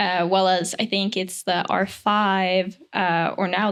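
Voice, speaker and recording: The recording is very clean, with a silent background. A woman speaks at a medium pitch in a monotone, flat intonation. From Norway. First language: Norwegian. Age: young. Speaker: actor and photographer. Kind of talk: casual chat.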